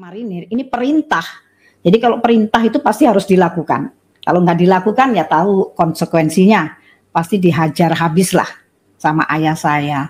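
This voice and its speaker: Somewhat breathy, a woman speaks with lively intonation against a quiet background. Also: medium pitch for a woman, moderate pace. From Surabaya, East Java, Indonesia. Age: 60s. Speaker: religious convert. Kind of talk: testimony. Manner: halting, many fillers. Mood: warm, smiling. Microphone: video call.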